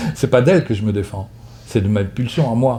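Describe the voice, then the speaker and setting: A man's somewhat breathy voice with a dark, mellow tone. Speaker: psychotherapist giving a talk. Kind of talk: lecture with audience questions; casual video intro. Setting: conference hall with audience. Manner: fast.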